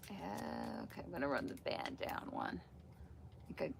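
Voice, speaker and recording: Someone whispers in a relaxed tone over noticeable background noise. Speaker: crafter demonstrating yarn spinning. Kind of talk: live stream tutorial. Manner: sometimes quiet and mumbling; relaxed, chatty.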